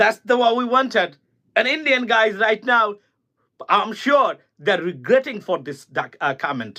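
A man talks in a raised, projected voice at a high pitch. His tone is bright and sharp, with lively intonation. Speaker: political commentator. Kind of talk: political monologue. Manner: animated.

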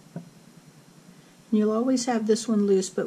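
A woman with a dark, mellow tone speaks in a somewhat breathy voice with monotone, flat intonation. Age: 60s. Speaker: crochet instructor. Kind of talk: tutorial.

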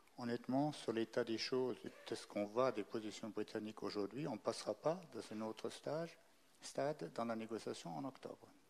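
Medium in pitch, a man with a plain, everyday voice speaks at a moderate pace with lively intonation. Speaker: diplomat. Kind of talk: panel discussion.

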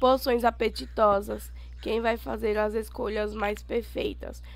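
A woman speaks at a very slow pace. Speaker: gaming YouTuber. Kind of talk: gameplay tutorial. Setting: home recording with screen capture.

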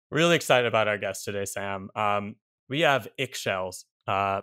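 A man with a bright, sharp tone and fairly even intonation at a moderate pace, dry and close with no echo, in a very clean recording with a silent background. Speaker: podcast co-host. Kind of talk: podcast intro chat.

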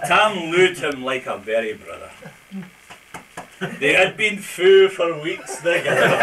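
Speaking at a fairly slow pace with long, frequent pauses, a man uses a high pitch over light background noise. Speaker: amateur poetry reciter. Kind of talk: poetry reading. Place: hall. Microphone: old recording.

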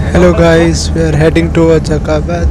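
A man speaks at a moderate pace with loud background noise. The sound itself is dry with no echo. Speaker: travel vlogger. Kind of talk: casual vlog chat. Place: bus. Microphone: lapel.

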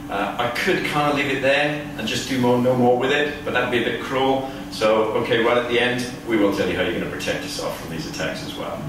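A man talks at a fairly quick pace over noticeable background noise. Strong echo fills the room. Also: ordinary pitch variation. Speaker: keynote speaker. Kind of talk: lecture. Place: hall. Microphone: camera far.

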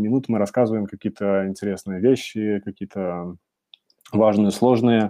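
This man talks with fairly even intonation and a fairly low pitch. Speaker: webinar host. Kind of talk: webinar presentation. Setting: online webinar. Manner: fast; frequent filler sounds.

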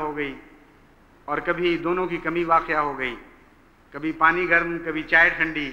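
The man has a high pitch and speaks with a flat, monotone intonation. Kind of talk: sermon. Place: church.

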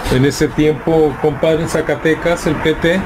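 Background noise is noticeable behind the man who is talking. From Guadalajara, Mexico. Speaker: podcast host. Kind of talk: casual chat interview. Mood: relaxed, friendly. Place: shop. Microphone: studio mic.

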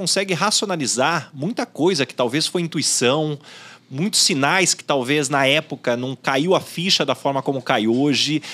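At a moderate pace, a man with a fairly high pitch and a bright, sharp tone speaks with lively intonation. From Brazil. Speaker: podcast host and headhunter; podcast host. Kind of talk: casual chat. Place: studio. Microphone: studio mic.

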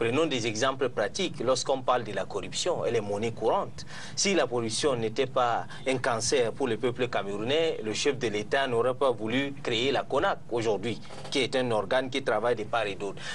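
A man talks at a moderate pace with ordinary pitch variation, light background noise audible behind him. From Cameroon. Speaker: human rights NGO worker; panelist. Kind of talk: televised debate. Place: studio. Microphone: lapel.

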